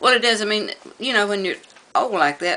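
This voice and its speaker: A woman in an American accent talks with ordinary pitch variation as noticeable background noise carries on. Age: 70s. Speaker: elderly resident interviewed. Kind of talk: news interview.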